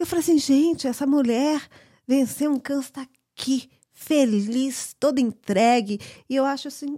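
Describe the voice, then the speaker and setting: A woman with a high pitch, a dark, mellow tone and ordinary pitch variation speaks at a moderate pace in a very clean recording with a silent background. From Brazil. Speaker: podcast co-host. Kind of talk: casual chat. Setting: home backyard. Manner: shy, soft-spoken.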